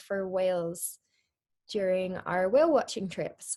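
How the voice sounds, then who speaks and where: A Scottish accent from a woman, medium in pitch and dark, mellow in tone, with ordinary pitch variation at a fairly slow pace against a quiet background. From Scotland. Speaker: marine biologist. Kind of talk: educational presentation. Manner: frequent filler ums.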